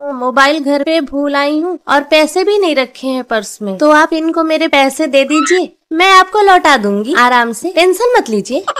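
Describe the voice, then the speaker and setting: Speaking fairly slowly, a woman uses a high pitch and lively intonation. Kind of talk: scripted family skit dialogue. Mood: warm, coaxing.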